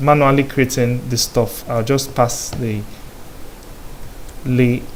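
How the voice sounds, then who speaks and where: Noticeable background noise accompanies a man who speaks at a fairly slow pace. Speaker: programming tutor. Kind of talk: coding tutorial. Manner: filler-heavy, repeated so and um.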